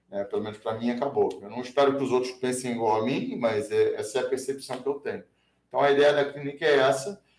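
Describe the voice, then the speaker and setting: A fairly high-pitched man with a Brazilian accent, at a very fast pace, with ordinary pitch variation. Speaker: self-defense trainer. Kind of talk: casual interview.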